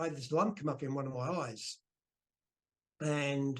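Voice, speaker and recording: A somewhat breathy man's voice with an Australian accent, fairly high in pitch, with ordinary pitch variation. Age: 60s. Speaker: retired professional wrestler. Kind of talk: interview.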